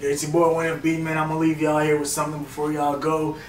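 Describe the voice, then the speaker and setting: Talking very fast at a fairly high pitch, a man keeps a flat, monotone intonation, with audible room echo and noticeable background noise. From Jamaica. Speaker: rapper. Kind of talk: interview. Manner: casual, filler-heavy.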